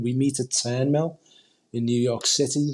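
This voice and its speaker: With a Liverpool accent, a man speaks at a medium pitch. His intonation is monotone and flat. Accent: Liverpool (Scouse). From Liverpool, England (Huyton). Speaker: football supporters group representative. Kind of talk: podcast interview.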